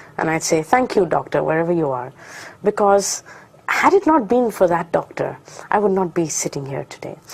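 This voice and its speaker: A woman speaks at a fairly quick pace with a medium pitch and very wide pitch swings. Noticeable background noise runs under her voice. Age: young. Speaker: motivational speaker. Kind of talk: testimony. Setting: studio.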